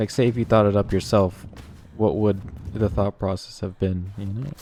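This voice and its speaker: A man's fairly low-pitched voice, fairly even in intonation at a moderate pace, over noticeable background noise. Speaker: video game streamer. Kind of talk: casual chat. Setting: live stream. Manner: halting; slurring words.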